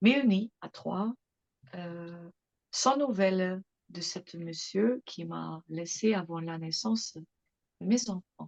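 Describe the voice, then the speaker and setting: Speaking very slowly with a non-native accent, a woman is heard in a dry, close recording with no echo. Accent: foreign accent in French. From England and Germany. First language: English or German (speaking French). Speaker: mother giving testimony. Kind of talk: interview testimony. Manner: hesitant, many fillers.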